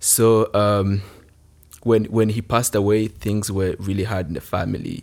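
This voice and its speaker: On a very clean recording with a silent background, a man with a Rwandan accent speaks in a fairly low pitch with monotone, flat intonation. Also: moderate pace. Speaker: youth village alumnus and leader.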